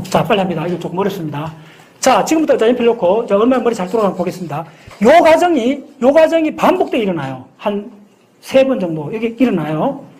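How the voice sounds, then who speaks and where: This man speaks at a fairly quick pace in a high pitch. His pitch swings very widely. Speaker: science lecturer. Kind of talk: lecture. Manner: fast. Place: classroom.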